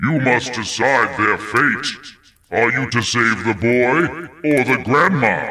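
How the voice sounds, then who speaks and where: A man's booming voice sits at medium pitch. He talks at a fairly slow pace. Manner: imposing, riddling.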